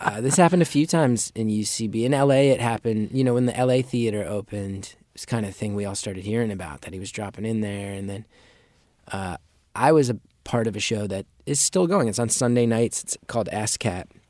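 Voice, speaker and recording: At a very fast pace, a man speaks at medium pitch in a very clean recording with a silent background. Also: ordinary pitch variation. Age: 30s. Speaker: comedian. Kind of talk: interview.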